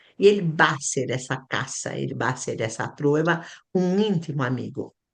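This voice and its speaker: A woman with a very deep, low pitch talks at a fairly slow pace, her pitch varying in an ordinary way. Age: 70s. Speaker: astrology teacher. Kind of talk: lecture. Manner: halting.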